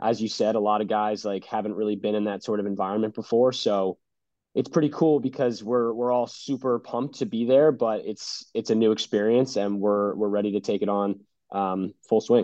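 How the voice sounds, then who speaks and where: A man's normal speaking voice, fairly low in pitch, at a fairly quick pace with fairly even intonation. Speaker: college lacrosse player. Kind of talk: sports interview.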